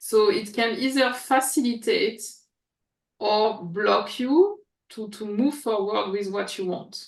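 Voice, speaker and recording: A woman with a French accent and a fairly high voice speaks very slowly, with ordinary pitch variation, big swings in loudness and audible room echo. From France, Paris. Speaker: coach and former researcher. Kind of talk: interview. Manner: halting, with fillers.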